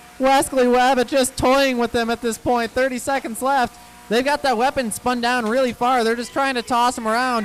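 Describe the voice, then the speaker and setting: Extremely high male pitch at a moderate pace, hardly any pauses, and noticeable background noise. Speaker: robot combat commentator. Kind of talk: live commentary. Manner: loud when excited. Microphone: handheld mic, uneven distance, audio issues.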